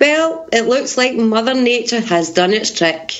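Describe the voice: A woman with lively intonation at a fairly slow pace, amid audible room echo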